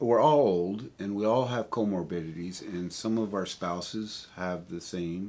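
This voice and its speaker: Fairly low in pitch, a man talks at a fairly slow pace with ordinary pitch variation. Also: very clean recording, silent background. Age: 60s. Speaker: vlogger and amateur musician. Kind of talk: casual vlog monologue. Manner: halting.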